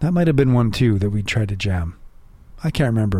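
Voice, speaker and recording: A man with a medium pitch and ordinary pitch variation talks at a fairly quick pace in an unremarkable speaking voice. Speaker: podcast host. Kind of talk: casual banter. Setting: home basement studio.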